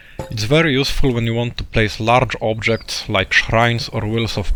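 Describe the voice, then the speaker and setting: Through noticeable background noise, a man with a non-native accent speaks at medium pitch. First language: not English. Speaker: video game tutorial creator. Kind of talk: tutorial.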